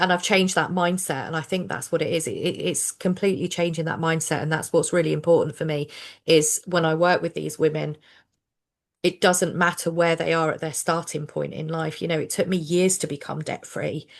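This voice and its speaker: With a southern English accent, a woman talks at a fairly quick pace in a fairly low pitch. Her intonation is flat and monotone over a quiet background. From southern England. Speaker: social worker and finance coach. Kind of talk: casual chat. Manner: conversational with fillers.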